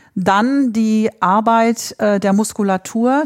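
A woman with a fairly high pitch and ordinary pitch variation speaks in a very clean recording with a silent background and a dry, close sound with no echo. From northern Germany. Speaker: flamenco dancer and dance teacher. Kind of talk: casual interview.

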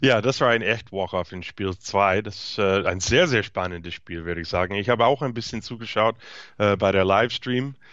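Using ordinary pitch variation, a man talks at a moderate pace with a fairly low pitch. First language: English (speaking German). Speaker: podcast co-host, baseball commentator. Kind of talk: casual sports chat. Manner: halting, hesitant.

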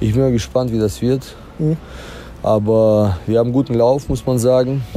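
Over noticeable background noise, a man at medium pitch speaks at a fairly slow pace with fairly even intonation. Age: 30s. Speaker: wrestler. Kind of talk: post-match interview.

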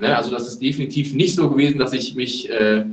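Noticeable background noise sits behind a man's fairly high voice. His intonation is lively. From Germany, Lower Rhine (Neuss). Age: 30s. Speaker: American football player, wide receiver. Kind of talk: podcast interview. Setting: remote call.

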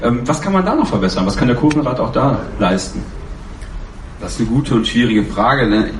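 A man of medium pitch speaks at a fairly quick pace with lively intonation and long, frequent pauses. Audible room echo and noticeable background noise are present. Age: 20s. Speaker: ultras fan, fan council candidate. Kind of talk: panel discussion.

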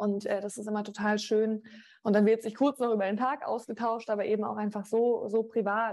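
A woman speaking at a moderate pace, her intonation monotone and flat. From Rhineland-Palatinate, Germany (Mainz family, moved often). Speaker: sports TV presenter. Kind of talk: interview.

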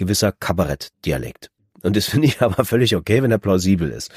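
Speaking fairly quickly, a man uses lively intonation with vocal fry. The sound is dry and close, with no echo. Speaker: audiobook narrator. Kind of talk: casual chat.

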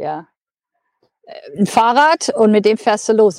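At a moderate pace, a woman talks with lively intonation in a dry, close sound with no echo. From Germany. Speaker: long-distance cyclist and traveler. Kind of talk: interview. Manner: hesitant, many filler sounds.

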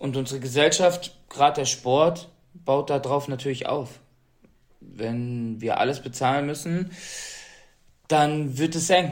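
Speaking at a very slow pace, a man leaves long, frequent pauses. His fairly high pitch follows fairly even intonation. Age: 30s. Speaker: Paralympic athlete. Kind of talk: interview.

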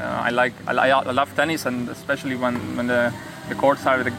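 Noticeable background noise surrounds a man speaking at a medium pitch with monotone, flat intonation. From Hungary. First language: Hungarian (speaking German). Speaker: professional tennis player. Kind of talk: interview. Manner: halting, repeats words.

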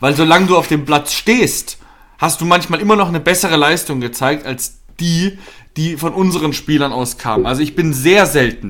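A man with a fairly high pitch and ordinary pitch variation at a moderate pace, music in the background. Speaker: football podcast co-host, fan. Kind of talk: angry rant about a team's bad match, heated football analysis. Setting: studio podcast recording.

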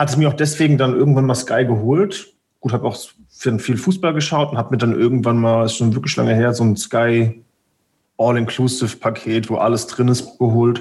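A man speaks in a somewhat breathy voice at a very even loudness. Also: medium pitch for a man, ordinary pitch variation, moderate pace. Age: 30s. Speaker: video producer. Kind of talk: casual chat.

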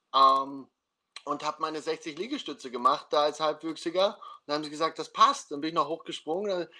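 With a bright, sharp tone, a man speaks at a moderate pace in a fairly high pitch with ordinary pitch variation. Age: 30s. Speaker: podcast host, former American football player. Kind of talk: casual interview livestream. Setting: video livestream.

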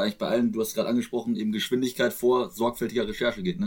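The man's voice sits at a medium pitch with ordinary variation. He talks at a very fast pace. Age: 20s. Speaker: podcast host. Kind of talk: casual chat.

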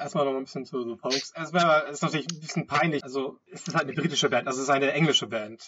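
Pitched fairly high, a man talks at a very fast pace. His intonation is fairly even. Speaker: podcast host. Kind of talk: casual chat. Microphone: wrong microphone, poor sound quality.

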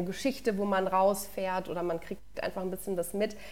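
Her pitch is medium for a woman. She speaks fairly quickly. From Lower Franconia, Bavaria (Würzburg area). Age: 20s. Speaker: sports journalist. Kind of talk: casual interview chat.

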